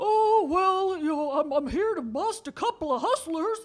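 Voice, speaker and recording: A put-on character voice at an extremely high pitch and a moderate pace. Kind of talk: radio play performance.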